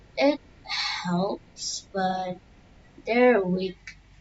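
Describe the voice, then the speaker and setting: Noticeable background noise runs through the clip. A woman talks with lively intonation. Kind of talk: casual gameplay tips talk. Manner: very quiet, soft; hesitant, many fillers.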